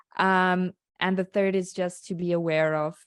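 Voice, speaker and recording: The speaker uses monotone, flat intonation with a South African accent, on a very clean recording with a silent background and a dry, close sound with no echo. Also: woman. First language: Afrikaans. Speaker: skincare founder. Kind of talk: interview. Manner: halting.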